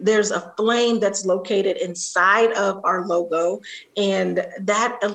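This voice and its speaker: Over noticeable background noise, a woman at medium pitch talks at a fairly slow pace with fairly even intonation. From Columbus, Ohio (Linden area), US Midwest. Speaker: nonprofit executive director. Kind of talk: interview. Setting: video call.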